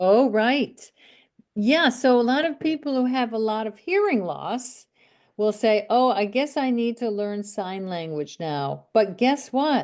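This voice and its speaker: A woman uses an ordinary speaking voice at a fairly high pitch, with lively intonation. She talks fairly slowly against a quiet background. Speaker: speech reading teacher. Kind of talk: casual chat.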